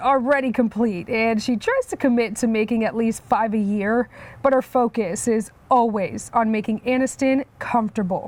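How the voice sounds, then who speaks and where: A woman at a moderate pace, fairly high in pitch, with a plain, everyday voice. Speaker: news reporter. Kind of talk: TV news feature voice-over.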